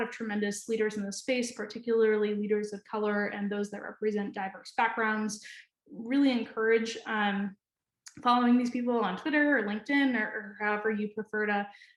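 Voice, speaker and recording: In an American accent, a woman speaks at a fairly quick pace with a fairly high pitch. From New Hampshire, US Northeast. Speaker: data scientist, conference presenter. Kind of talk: conference presentation. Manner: fast; hesitant with frequent fillers and repetitions.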